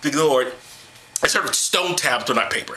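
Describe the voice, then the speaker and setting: A man speaks in an animated tone. His voice carries audible room echo and noticeable background noise. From New York. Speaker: comedic vlogger. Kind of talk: comedic commentary. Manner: fast.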